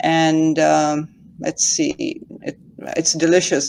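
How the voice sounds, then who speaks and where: A woman with a Pakistani accent speaks at a very slow pace. Her pitch is very deep and low. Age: 60s. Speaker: retail investor. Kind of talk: casual chat. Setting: livestream call. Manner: halting, hesitant.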